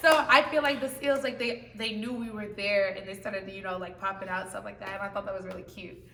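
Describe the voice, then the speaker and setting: Against noticeable background noise, a woman speaks at a fairly quick pace. Her tone is animated and her intonation lively. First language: not English. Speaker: choir member. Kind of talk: casual chat.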